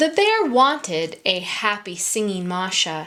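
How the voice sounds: This is a natural reading voice. It carries the text through.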